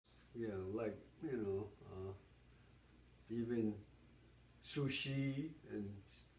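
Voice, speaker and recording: There is audible room echo around a man's voice. It is fairly low in pitch and somewhat breathy. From Hawaii, Honolulu. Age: 70s. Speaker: interviewee. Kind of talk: oral history interview. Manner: halting.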